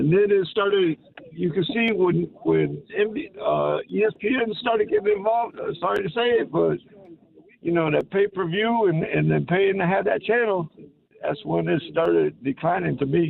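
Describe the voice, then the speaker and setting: The speech moves at a moderate pace. Behind it sits noticeable background noise. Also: man. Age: 60s. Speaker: radio caller. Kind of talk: call-in radio chat. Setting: phone call. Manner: halting, repeats words.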